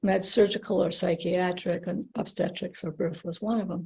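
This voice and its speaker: Somewhat breathy speech in an American accent moves at a moderate pace with fairly even intonation. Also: woman. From United States. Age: 60s. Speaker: former nurse-midwife. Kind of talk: podcast interview. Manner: halting.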